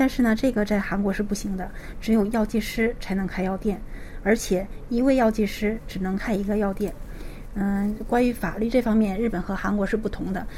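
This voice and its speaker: A woman talks at a fairly quick pace in a medium pitch, her intonation fairly even. Noticeable background noise runs underneath. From Liaoning, northeast China. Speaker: pharmacist. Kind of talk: interview.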